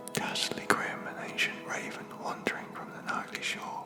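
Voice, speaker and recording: A man whispering at a fairly slow pace, with music in the background. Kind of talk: poetry reading, ASMR sleep. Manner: whispered.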